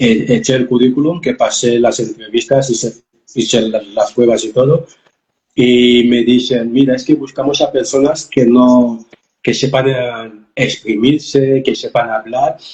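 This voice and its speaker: Speaking at a fairly slow pace, a man with a medium-pitched, somewhat breathy voice keeps his intonation fairly even. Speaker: life coach. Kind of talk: interview testimony. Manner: halting, repeated syllables.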